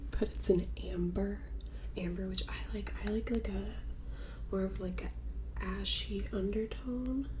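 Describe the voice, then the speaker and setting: Over noticeable background noise, a woman with a very deep, low voice speaks soft-spoken and gentle in tone, monotone and flat, at a very slow pace. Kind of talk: ASMR get ready with me, casual talk to camera. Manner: soft-spoken, gentle; repeats phrases softly.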